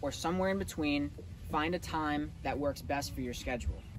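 A man talks at a fairly quick pace. There is noticeable background noise, and the sound is dry with no echo. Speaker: fitness coach. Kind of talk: tutorial tips to camera. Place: open country.

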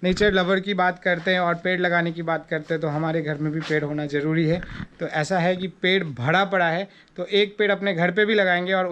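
There is light background noise as a man speaks at a moderate pace. His pitch is high and his intonation fairly even. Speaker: travel vlogger on a motorbike tour. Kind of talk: casual vlog chat. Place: garden. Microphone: phone near.

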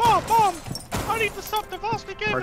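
A put-on character voice at an extremely high pitch moves at a fairly quick pace over noticeable background noise. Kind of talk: gaming commentary.

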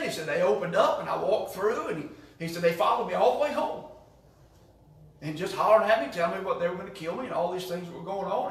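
A man speaks at a very fast pace. Room echo is audible. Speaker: Sunday school teacher. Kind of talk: lecture. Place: classroom. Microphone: camera far.

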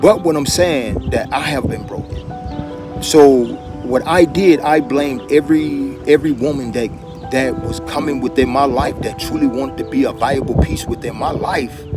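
Clear music plays in the background as a man speaks at a moderate pace in a dry sound with no echo. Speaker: relationship vlogger. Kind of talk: casual vlog chat. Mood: earnest, reflective. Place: street. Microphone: phone near.

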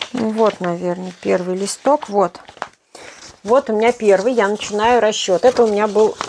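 Over light background noise, a woman with a fairly high pitch speaks at a moderate pace with fairly even intonation and long, frequent pauses. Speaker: knitting blogger; knitting live-stream host. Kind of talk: live stream Q&A. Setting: live online broadcast. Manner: casual, conversational. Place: home room. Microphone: poor connection, stream lagging; phone near.

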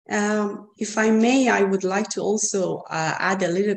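A woman speaks with a Persian accent against light background noise. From Iran. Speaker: artist. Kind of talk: online artist talk. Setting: video call. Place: home room. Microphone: video call.

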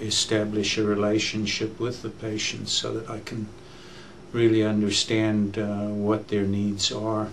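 A fairly low-pitched man at a fairly slow pace, monotone with flat intonation, over light background noise. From South Africa. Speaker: physician, general internist. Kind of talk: interview answer. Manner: hesitant, many filler words. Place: studio.

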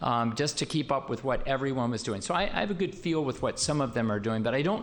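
Audible room echo surrounds a man who talks at a very fast pace with lively intonation. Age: 60s. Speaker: city mayor. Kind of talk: council meeting discussion. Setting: council chamber. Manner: halting, many fillers.

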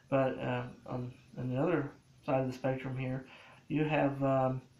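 A man talks at a moderate pace and a medium pitch. Room echo is audible around him.

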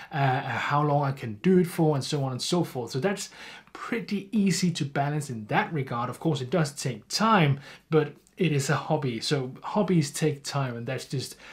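Against a quiet background, the speaker's voice comes across as somewhat breathy. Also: man, lively intonation, moderate pace. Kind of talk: interview answer. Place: home room.

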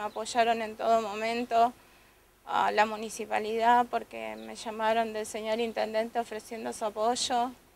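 The voice sounds strained and flat, with monotone intonation. It moves at a fairly slow pace in a dry recording with no echo. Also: woman. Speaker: domestic violence survivor giving testimony. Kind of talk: tearful testimony, emotional account of abuse. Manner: halting, hesitant, repeating words; distressed, emotionally strained. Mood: earnest, emotional testimony. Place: street. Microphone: handheld.

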